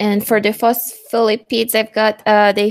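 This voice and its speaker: With a non-native accent, a woman is talking. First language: not English. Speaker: student. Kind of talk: casual chat.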